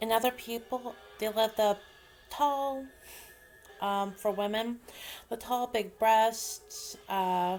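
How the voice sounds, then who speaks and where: Music plays in the background as a woman with a fairly high pitch speaks at a very slow pace. Her intonation is fairly even, with long, frequent pauses. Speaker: author vlogger. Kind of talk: casual vlog monologue. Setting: home video vlog, slouching. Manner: hesitant, many fillers.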